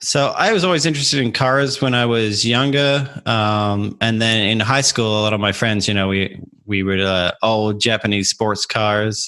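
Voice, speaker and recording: With a bright, sharp tone, a man speaks at a moderate pace in very even loudness, with hardly any pauses. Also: fairly low pitch for a man, ordinary pitch variation. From Australia, Adelaide. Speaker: aerospace engineer and amateur racer. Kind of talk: podcast interview.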